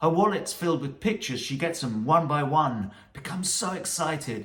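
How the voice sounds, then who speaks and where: Over noticeable background noise, a man with a British accent and a fairly high pitch talks at a moderate pace with lively intonation. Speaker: music commentator.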